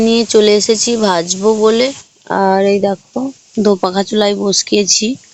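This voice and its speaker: Noticeable background noise is present. A woman does the talking. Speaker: village lifestyle vlogger. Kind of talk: casual vlog narration.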